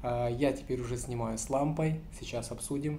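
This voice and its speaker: Against light background noise, a man talks at a moderate pace in a somewhat breathy voice with fairly even intonation. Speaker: food vlogger. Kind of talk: casual vlog chat. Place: home room. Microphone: phone near.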